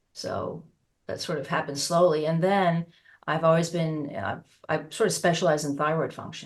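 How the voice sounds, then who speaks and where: A woman talks with an American accent in an ordinary speaking voice. Her pitch is fairly low and her intonation fairly even. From United States. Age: 60s. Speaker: osteopath and naturopath. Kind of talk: interview.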